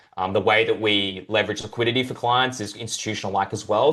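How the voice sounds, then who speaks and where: Talking at a very fast pace, a man with an Australian accent uses a fairly low pitch. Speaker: crypto brokerage representative. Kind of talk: interview. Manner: hesitant fillers.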